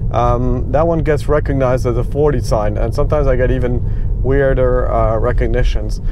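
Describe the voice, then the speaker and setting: The pace is moderate, and the sound is dry with no echo. Background noise is noticeable. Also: man. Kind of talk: commentary. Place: car.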